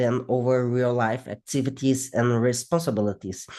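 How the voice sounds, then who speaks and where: Heard over a quiet background, a non-native accent comes through in a dark, mellow tone with fairly even intonation. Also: man. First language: not English. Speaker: psychology researcher. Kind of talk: interview. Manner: halting.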